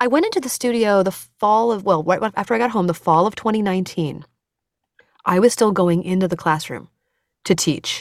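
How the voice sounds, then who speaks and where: A woman speaks in a normal speaking voice. Her pitch is medium, with ordinary variation. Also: fairly quick pace. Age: 40s. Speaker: cancer and heart dissection survivor, musician. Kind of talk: interview. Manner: fast.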